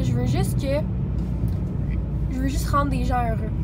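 Heavy surrounding noise behind a female voice at a middling speed. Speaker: vlogger. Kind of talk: casual vlog chat. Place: car. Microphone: phone near.

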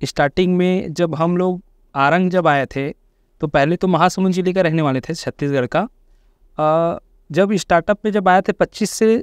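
The sound is dry with no echo against a quiet background, and the pitch variation is ordinary. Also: man. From Chhattisgarh, India (Raipur area); Chhattisgarh, India. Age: 20s. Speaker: network marketing leader; podcast guest. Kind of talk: interview testimony. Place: studio. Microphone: lapel.

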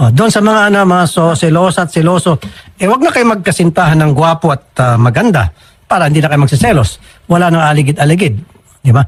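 Delivered at a very fast pace, the speech has lively intonation and very even loudness. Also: man, high pitch for a man. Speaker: public service radio host handling complaints. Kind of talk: complaint-handling interview on air.

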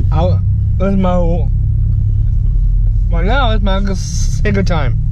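A man's very slow speech, dry with no echo, over loud background noise. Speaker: vlogger. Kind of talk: casual vlog chat. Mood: cheerful, excited. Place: car. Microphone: phone near.

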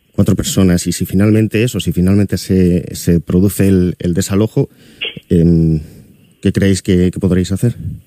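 Against a quiet background, a man with a very deep, low pitch speaks at a fairly slow pace with fairly even intonation in a dry sound with no echo. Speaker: radio presenter. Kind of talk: radio interview. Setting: studio. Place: studio.

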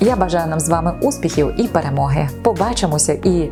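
A woman talks at a fairly quick pace. Behind her, music plays. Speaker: radio host and announcer. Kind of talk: casual talk to camera.

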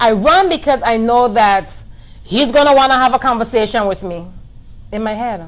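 With an American accent, the speaker talks at a moderate pace with lively intonation. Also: woman, fairly high pitch for a woman. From US Virgin Islands, St. Croix; US Virgin Islands. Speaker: boutique owner, entrepreneur; interview guest. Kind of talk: personal testimony in live interview. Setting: live video stream. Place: home room. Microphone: phone near.

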